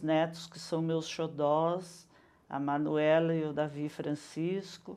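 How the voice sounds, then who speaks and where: A woman's fairly low voice with a dark, mellow tone, very slow pace and audible room echo. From Brazil, São Paulo state (Mairinque since age 10). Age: 60s. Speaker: retired teacher and educator. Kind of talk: interview.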